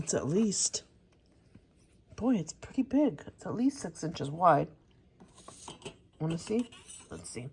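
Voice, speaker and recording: A woman speaks fairly slowly in a somewhat breathy, fairly low voice, with long, frequent pauses. Her pitch swings very widely and her loudness shifts a lot. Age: 60s. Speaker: crafting YouTuber. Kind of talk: casual haul video. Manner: casual, chatty with fillers.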